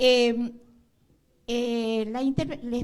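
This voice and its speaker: The woman's pitch sits fairly high. Her tone is dark and mellow. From northwestern Argentina. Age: 70s. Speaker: audience member, veteran activist. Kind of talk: public comment at a panel. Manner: halting.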